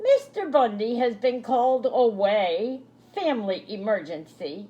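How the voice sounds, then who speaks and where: The speed is moderate. The voice is a put-on character voice. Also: female-sounding voice, fairly high pitch for a woman. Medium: read story. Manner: proper, teacherly.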